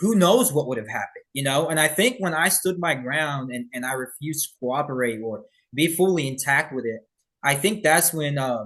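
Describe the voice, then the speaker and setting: Against a quiet background, the speaker keeps a moderate pace with lively intonation. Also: man. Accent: American. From Birmingham, Alabama, United States. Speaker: police officer. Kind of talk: interview answer.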